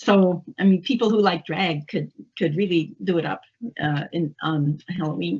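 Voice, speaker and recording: At a moderate pace, a woman speaks somewhat breathily at a medium pitch with ordinary pitch variation. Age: 70s. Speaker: English instructor. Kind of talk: interview.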